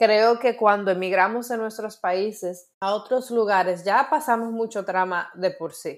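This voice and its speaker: In a Dominican accent, a woman with a fairly high pitch speaks at a fairly slow pace with ordinary pitch variation and hardly any pauses, on a very clean recording with a silent background. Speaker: podcast co-host. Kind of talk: casual chat.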